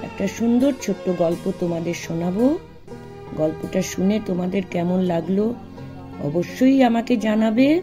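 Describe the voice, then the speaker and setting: A woman speaks with ordinary pitch variation. Music plays behind her. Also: medium pitch for a woman. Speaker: retired teacher; storyteller. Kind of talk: friendly intro to children.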